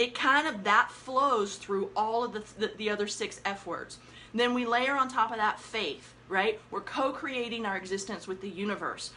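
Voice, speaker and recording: A woman's animated, energetic voice, fairly high in pitch, with ordinary pitch variation, a moderate pace and hardly any pauses. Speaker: life coach. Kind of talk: live stream talk. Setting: Facebook Live broadcast.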